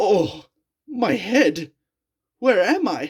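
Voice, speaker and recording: The voice is a put-on character voice. Its pitch is fairly high. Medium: read story. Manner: cross, agitated.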